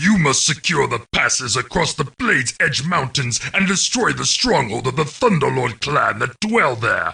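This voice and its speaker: A man's raspy, put-on character voice, fairly high in pitch, at a moderate pace with hardly any pauses. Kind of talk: video game mission briefing narration.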